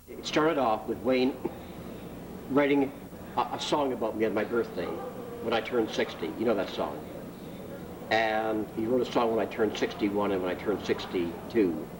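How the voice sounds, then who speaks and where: With a Canadian accent, the speaker talks at a moderate pace with ordinary pitch variation and long, frequent pauses over noticeable background noise. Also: man, medium pitch for a man. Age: 60s. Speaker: street performer. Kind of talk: interview. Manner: halting.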